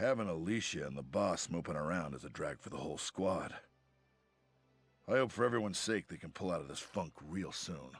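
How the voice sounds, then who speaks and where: Putting on a raspy character voice, a man speaks fairly quickly at a very deep, low pitch with very wide pitch swings. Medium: video game. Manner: blunt, casual.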